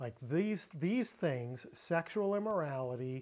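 A man's dark, mellow tone at a fairly slow pace over a quiet background. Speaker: Bible teacher. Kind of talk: lecture. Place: home room.

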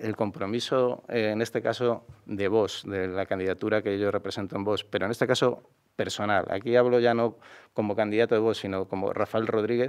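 Against a quiet background, a man with an unremarkable speaking voice talks at a fairly quick pace, his fairly low pitch following a fairly even intonation. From Madrid, Spain; Spain. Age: 50s. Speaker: mayoral candidate; candidate. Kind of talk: interview. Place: studio. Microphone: studio mic.

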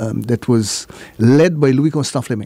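At medium pitch, a man talks with a dark, mellow tone and ordinary pitch variation in a dry sound with no echo. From St. Martin (French side, Marigot); St. Martin. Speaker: former island politician and educator; former island politician, educator. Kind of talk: interview; interview answer. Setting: radio studio. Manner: halting. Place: studio. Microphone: studio mic.

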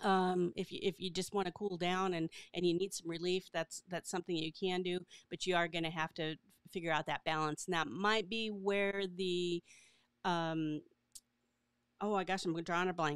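Fairly low-pitched female voice, clear and smooth in tone, moderate in pace, with fairly even intonation and a dry, close sound with no echo

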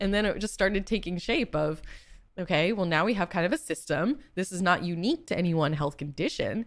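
A woman with an American accent has an unremarkable speaking voice at medium pitch. She talks at a fairly quick pace with lively intonation and very even loudness. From Boston, US. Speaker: patient advocate and startup founder. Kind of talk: interview.

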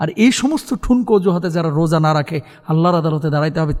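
Here a man speaks at a fairly high pitch. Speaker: Islamic preacher. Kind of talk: sermon. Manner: animated.

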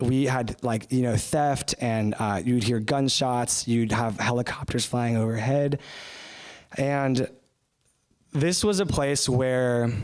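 A man's very slow speech in an American accent, with very even loudness, ordinary pitch variation and a quiet background. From US, suburban. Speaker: short-term missionary speaker; speaker. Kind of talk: sermon. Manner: halting, many fillers. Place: church.

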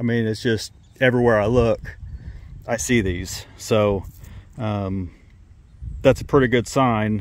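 The man's delivery is fairly slow. No echo colors the dry sound. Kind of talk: casual vlog chat. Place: open country.

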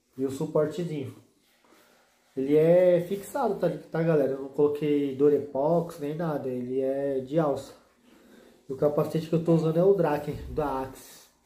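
In a room with audible echo, a man speaks at a moderate pace with a dark, mellow tone, a fairly high pitch and fairly even intonation. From Brazil. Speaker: motovlog youtuber; motovlogger. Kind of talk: casual product tutorial vlog. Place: home room.

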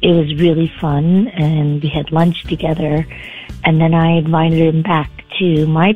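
A woman speaks fairly slowly with faint music in the background. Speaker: radio caller. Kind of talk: interview answer. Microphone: phone line.

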